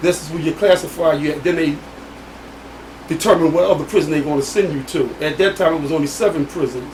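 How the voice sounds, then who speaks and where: A man talks at a very fast pace with fairly high pitch and fairly even intonation. Noticeable background noise is present. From US Northeast, Philadelphia. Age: 60s. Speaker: exonerated former prisoner. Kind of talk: interview testimony.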